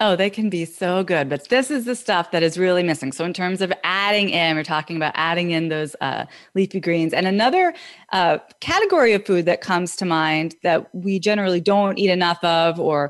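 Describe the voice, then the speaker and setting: Over a quiet background, a woman talks at a fairly quick pace in a medium pitch with ordinary pitch variation, an unremarkable speaking voice. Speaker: health radio co-host. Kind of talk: casual chat.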